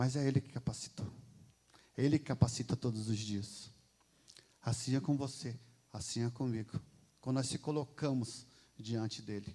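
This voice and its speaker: A man's dark, mellow, somewhat breathy voice, with long, frequent pauses and big swings in loudness. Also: medium pitch for a man, fairly even intonation, moderate pace. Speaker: lay preacher. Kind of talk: sermon. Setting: church.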